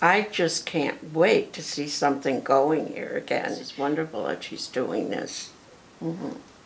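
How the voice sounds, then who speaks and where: A woman with an American accent speaks at a fairly slow pace in a very deep, low pitch over noticeable background noise. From Adams, Massachusetts. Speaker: former theater candy counter worker. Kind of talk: interview answer.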